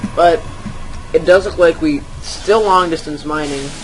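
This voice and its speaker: There is noticeable background noise behind this man, whose pitch is fairly high for a man. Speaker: amateur esports caster. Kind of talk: live game commentary. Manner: stuttering; halting, hesitant.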